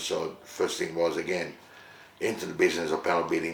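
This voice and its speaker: A man with an Italian accent, with audible room echo and noticeable background noise. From Italy, Rome; moved to Australia as a teenager. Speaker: musician and entertainment company director. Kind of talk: interview monologue, life story. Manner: hesitant, many fillers.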